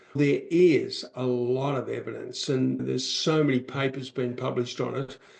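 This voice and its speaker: A man at a moderate pace with hardly any pauses, over noticeable background noise. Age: 60s. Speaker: author and public speaker, podcast guest. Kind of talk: podcast interview conversation.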